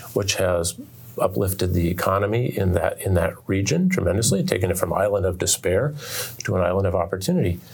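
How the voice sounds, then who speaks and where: A man talks at a moderate speed as noticeable noise runs in the background. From Oregon, US. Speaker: author. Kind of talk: interview. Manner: halting, with repetitions.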